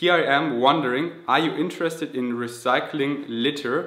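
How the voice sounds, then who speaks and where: Amid noticeable background noise and audible room echo, a man with a slight German accent speaks with fairly even intonation. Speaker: vegan fitness youtuber. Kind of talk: Q&A vlog. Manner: halting, self-correcting.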